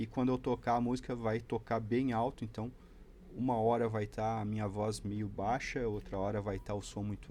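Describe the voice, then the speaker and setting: A man talks with a fairly low pitch and a dark, mellow tone. His intonation is fairly even and his pace moderate. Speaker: electronics hobbyist youtuber. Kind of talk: tutorial.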